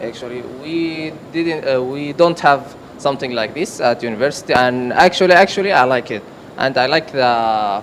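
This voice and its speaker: A man speaks with an Arabic accent at a fairly slow pace and a fairly high pitch, with ordinary pitch variation. Noticeable background noise sits behind him. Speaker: student. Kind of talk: classroom contribution. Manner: halting.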